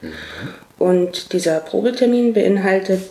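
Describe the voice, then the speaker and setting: A woman talks at a moderate pace and fairly even intonation, with noticeable background noise in the clip. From eastern Germany, Cottbus (Brandenburg). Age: 30s. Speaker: make-up artist. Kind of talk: interview.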